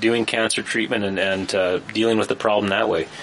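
Over noticeable background noise, the voice keeps a fairly even intonation. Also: man. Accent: Canadian. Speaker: political panelist, self-employed. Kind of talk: casual panel discussion.

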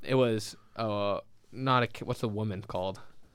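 A man with a Manitoban accent speaks in a very clean recording with a silent background. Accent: Canadian (Manitoba). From Winnipeg, Canada. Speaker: food podcast co-host. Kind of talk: casual chat. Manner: animated, laughing often.

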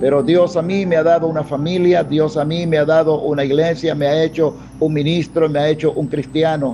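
With music in the background, a man speaks at a moderate pace in fairly even intonation. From Panama. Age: 50s. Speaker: pastor. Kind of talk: sermon. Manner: hesitant, many fillers.

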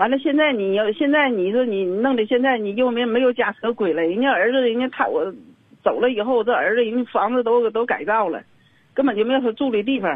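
Speaking at a fairly quick pace, a woman uses a high voice. Her pitch varies in an ordinary way. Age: 60s. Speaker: caller. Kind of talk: phone-in advice call.

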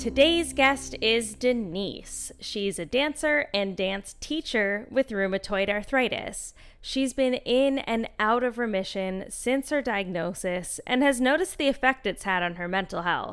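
This woman has an ordinary speaking voice, fairly high in pitch, with lively intonation. She talks at a fairly slow pace with hardly any pauses. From western Canada. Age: 30s. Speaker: podcast host. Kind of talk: casual interview.

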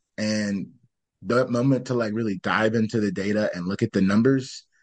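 A man with an American accent has a normal speaking voice, fairly low in pitch with ordinary pitch variation, talking fairly quickly against a quiet background. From Michigan. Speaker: startup founder. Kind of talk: casual chat.

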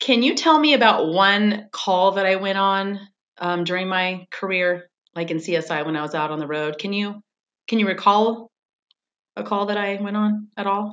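Here is an ordinary speaking voice from a woman with an American accent. Her pitch is medium with ordinary variation, and her pace is fairly slow. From California. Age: 50s. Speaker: podcast host, former police officer and crime scene investigator. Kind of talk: casual interview chat.

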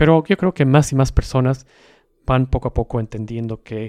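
At a fairly slow pace, a dark, mellow tone with ordinary pitch variation sounds dry and close with no echo on a very clean recording with a silent background. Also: man. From South America. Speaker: podcast host. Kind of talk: solo educational podcast monologue. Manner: measured, explanatory.

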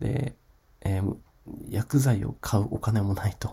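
A man's dark, mellow, somewhat breathy voice, fairly slow, with ordinary pitch variation. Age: 40s. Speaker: podcaster, online shop owner. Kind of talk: solo podcast monologue. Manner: casual, many filler words.

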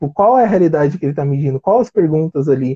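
This man's voice sits at a fairly high pitch. It is somewhat breathy, with ordinary pitch variation. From Brazil, São Paulo. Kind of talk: interview conversation.

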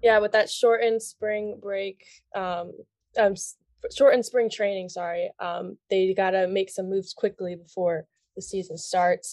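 In a plain, everyday voice with an American accent, a woman speaks at a moderate pace with fairly even intonation and big swings in loudness, against a quiet background in a dry, close sound with no echo. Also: medium pitch for a woman. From Long Island, New York. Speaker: student podcast co-host. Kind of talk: casual chat.

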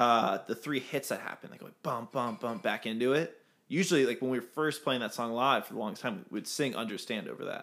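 In a very clean recording with a silent background, a man uses a plain, everyday voice at medium pitch, fairly quick with hardly any pauses, ordinary pitch variation and big swings in loudness. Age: 20s. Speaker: band musician. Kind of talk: casual interview chat.

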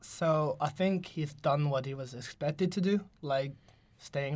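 Here a man speaks with a fairly high pitch and ordinary pitch variation. His voice is somewhat breathy. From France, Paris. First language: French. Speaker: university student, football fan. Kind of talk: casual chat.

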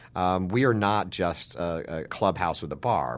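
Vocal fry runs through a man's very deep, low voice. His pitch varies in an ordinary way. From Utah (small town). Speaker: journalist and press club president. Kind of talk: interview. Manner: halting, many fillers.

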